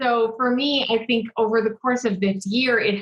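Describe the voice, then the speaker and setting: This woman has a plain, everyday voice pitched fairly high. She talks at a moderate pace with fairly even intonation. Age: 30s. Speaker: business coach. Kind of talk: casual chat.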